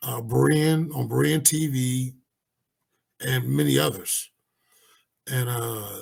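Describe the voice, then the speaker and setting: A man's very slow, somewhat breathy speech at a medium pitch, with very wide pitch swings and long, frequent pauses. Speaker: Bible study teacher. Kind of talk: Bible teaching lecture with slides. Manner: hesitant, many fillers.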